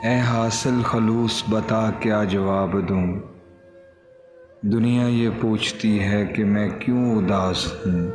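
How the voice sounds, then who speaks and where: A man's fairly low voice with fairly even intonation and very even loudness, music playing in the background. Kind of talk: poetry reading.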